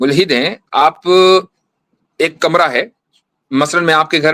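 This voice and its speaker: A man speaks with a bright, sharp tone at a fairly high pitch. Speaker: Islamic scholar, mufti. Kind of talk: religious debate.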